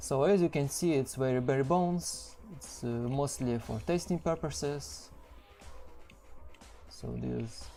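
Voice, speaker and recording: Music plays in the background. The speaker has a strong non-native accent and goes at a very slow pace. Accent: heavy non-native English. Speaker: game level designer. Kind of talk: developer commentary over gameplay. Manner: hesitant, many fillers.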